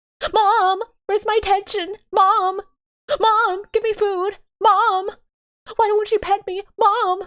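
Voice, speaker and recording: Using a put-on character voice at an extremely high pitch, a woman speaks at a fairly slow pace in a monotone, flat intonation with long, frequent pauses. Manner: whiny, needy.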